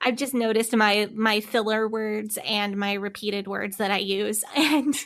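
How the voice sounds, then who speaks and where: A woman speaks at a fairly high pitch and a moderate pace. Her intonation stays fairly even. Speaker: podcast co-host. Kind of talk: casual chat.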